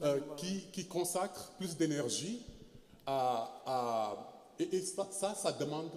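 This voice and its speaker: A man's high, dark, mellow voice with lively intonation. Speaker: historian. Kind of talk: panel discussion. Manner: halting, many repetitions.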